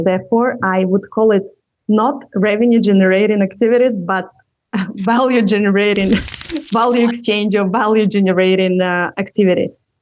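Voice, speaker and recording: Her intonation is fairly even and her pace is moderate. The woman has a non-native accent and a medium pitch. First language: not English. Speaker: entrepreneur and communication coach. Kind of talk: interview. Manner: halting, many fillers.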